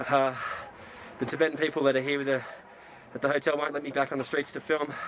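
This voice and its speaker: The speech runs at a fairly quick pace amid noticeable background noise. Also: man. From Australia. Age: 20s. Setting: outdoors.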